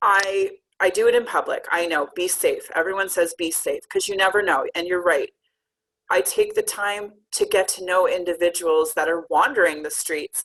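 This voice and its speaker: A woman talks with a Canadian accent. Her pace is moderate. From Canada. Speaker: community outreach coach and speaker. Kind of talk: talk presentation. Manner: loud.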